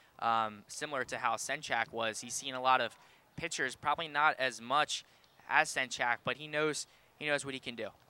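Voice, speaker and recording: Here a man with a medium pitch and a bright, sharp tone speaks at a moderate pace with fairly even intonation, the sound dry and close with no echo. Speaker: color commentator, former player. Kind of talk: live sports commentary. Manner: casual, conversational, hesitant with filler ums.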